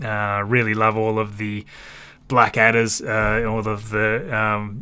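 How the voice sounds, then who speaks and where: The voice carries a bright, sharp tone in an Australian accent. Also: man. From Australia, Tasmania. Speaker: space livestream host. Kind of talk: live stream commentary and chat reading.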